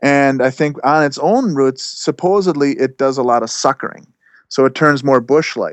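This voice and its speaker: At a moderate pace, a man talks in an ordinary speaking voice, fairly high in pitch and with ordinary pitch variation. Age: 40s. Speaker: self-employed plant grower and broom maker. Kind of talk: casual podcast interview.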